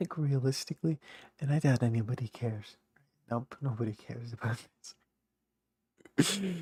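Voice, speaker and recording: Somewhat breathy and dark, mellow in tone, a man's medium-pitched voice moves at a fairly quick pace with ordinary pitch variation and long, frequent pauses, the sound dry and close with no echo. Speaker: youtuber. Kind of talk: casual monologue. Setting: home, late night. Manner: rambling, halting. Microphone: may be a little quiet.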